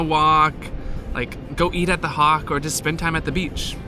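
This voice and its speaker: Noticeable background noise sits under a man talking at a moderate speed. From Oklahoma, Tulsa. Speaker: travel vlogger. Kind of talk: casual vlog chat.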